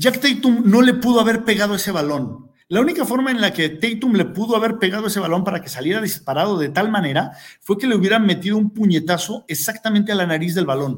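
This man's pitch is high. He talks at a fairly quick pace with lively intonation. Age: 40s. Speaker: sports podcast host. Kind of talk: casual sports commentary. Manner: animated; hesitant with repeated words.

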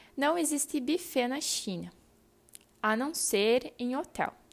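A woman speaks with lively intonation. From southern Brazil, Rio Grande do Sul. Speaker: podcaster. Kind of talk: personal storytelling monologue.

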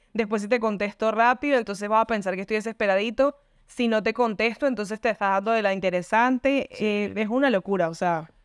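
The recording has a dry, close sound with no echo. A woman talks at a very fast pace and a fairly high pitch. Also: ordinary pitch variation, quiet background. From Venezuela. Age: 20s. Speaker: podcast co-host. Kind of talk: casual chat.

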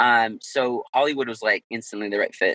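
Dry and close with no echo, a man talks at a moderate pace. His tone is bright and sharp, with ordinary pitch variation. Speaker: guest, Aikido practitioner, dojo member.

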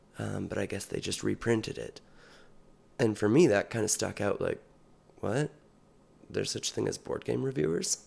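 With a Western Canadian accent, a man talks at a moderate pace and leaves long, frequent pauses. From British Columbia, Canada. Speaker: podcast co-host, gymnastics gym director. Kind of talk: casual chat.

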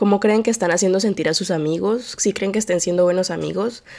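Moving along at a fairly quick pace, the speech carries a dark, mellow tone. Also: woman. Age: 20s. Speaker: podcast host. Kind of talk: solo monologue podcast. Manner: low-energy; distracted.

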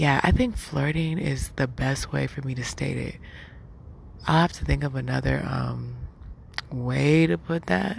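Against noticeable background noise, a woman talks at a fairly slow pace with long, frequent pauses. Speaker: podcast host. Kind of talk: casual monologue. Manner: laid-back, laughing.

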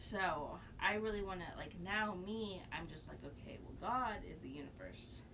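Over noticeable background noise, a woman with an American accent speaks at a moderate pace in a medium pitch, with ordinary pitch variation and big swings in loudness. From Texas, Tomball area near Houston. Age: 20s. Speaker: artist and community event organizer. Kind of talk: casual chat.

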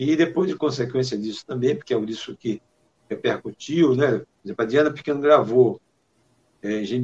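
A man's somewhat breathy voice at medium pitch, with ordinary pitch variation and a dry, close sound with no echo. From Maranhão, Brazil (rural interior). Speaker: singer-songwriter. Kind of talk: interview.

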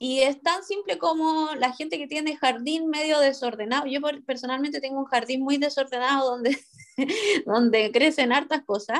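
Speaking at a moderate pace with a Chilean accent, a woman talks in a high pitch. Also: ordinary pitch variation. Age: 30s. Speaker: podcast co-host. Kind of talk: casual chat.

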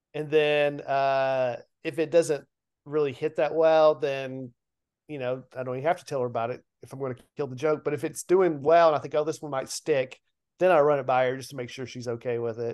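Fairly high-pitched man with a Southern US accent, fairly even intonation and big swings in loudness, over a quiet background. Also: fairly quick pace. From US South, Nashville, Tennessee. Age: 50s. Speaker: comedian. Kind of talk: casual chat.

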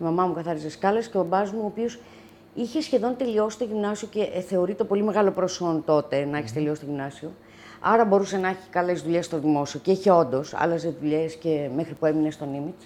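A woman talks at a moderate pace in a fairly low, dark, mellow voice with lively intonation. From Greece, Athens (born near Lamia). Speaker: wine bistro owner, single adoptive mother. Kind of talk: casual interview. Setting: home.

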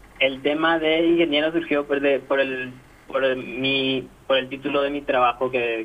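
A man with an unremarkable speaking voice and a medium pitch talks at a moderate pace with fairly even intonation. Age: 20s. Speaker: data analyst interviewee. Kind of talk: interview.

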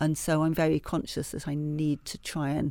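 A woman speaks at a moderate pace with a very deep, low pitch, a dark, mellow tone and vocal fry. The recording is very clean, with a silent background. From Yorkshire, northern England (Leeds). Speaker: food historian. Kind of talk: interview conversation. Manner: hesitant, many fillers and restarts.

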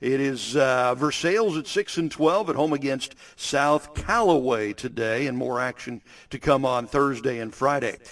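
An unremarkable speaking voice from a man, medium in pitch, at a moderate pace with ordinary pitch variation. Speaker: sports reporter. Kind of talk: news reading.

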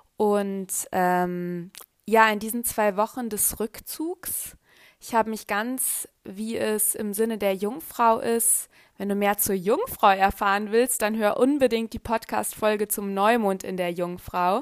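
Very slowly and at a fairly high pitch, a woman speaks in a dry, close sound with no echo on a very clean recording with a silent background. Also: fairly even intonation. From Germany. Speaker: astrology podcaster. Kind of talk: podcast monologue. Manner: hesitant with fillers.

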